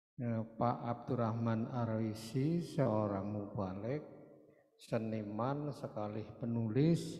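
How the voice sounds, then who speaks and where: A man at medium pitch with a dark, mellow tone, a very slow pace and audible room echo. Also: ordinary pitch variation. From Banyumas, Central Java, Indonesia. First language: Banyumas Javanese (speaking Indonesian). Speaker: writer and magazine editor. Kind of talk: cultural oration.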